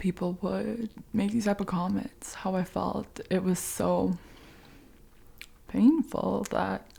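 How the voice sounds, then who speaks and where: Noticeable background noise accompanies a woman speaking in a gentle tone. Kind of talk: ASMR soft-spoken update to camera. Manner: soft-spoken, gentle, whispery.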